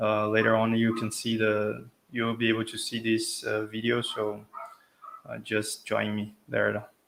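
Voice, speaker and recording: With a Brazilian Portuguese accent, a man speaks fairly slowly in a monotone, flat intonation. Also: medium pitch for a man. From Brazil, São Paulo. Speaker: tech speaker, software consultant. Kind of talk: tech talk presentation. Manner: hesitant, many fillers.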